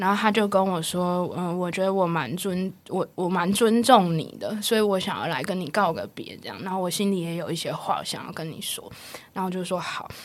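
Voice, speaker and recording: A woman with a medium pitch talks at a fairly quick pace with hardly any pauses, and room echo is audible. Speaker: counselling psychologist. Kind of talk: interview conversation. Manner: laughs a lot; animated.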